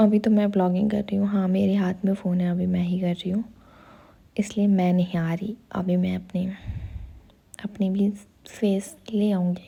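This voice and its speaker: Soft-spoken and somewhat breathy, a woman with a medium pitch and dark, mellow tone speaks in monotone, flat intonation with long, frequent pauses. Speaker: vlogger. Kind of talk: casual vlog commentary. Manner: soft-spoken, quiet.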